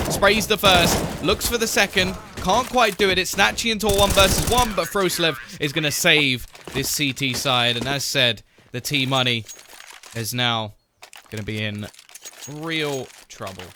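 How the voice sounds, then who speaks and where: Noticeable background noise behind a man's fairly high voice, with very wide pitch swings, a moderate pace, and long, frequent pauses. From southern England, near London. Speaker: esports caster. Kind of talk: live commentary. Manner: animated.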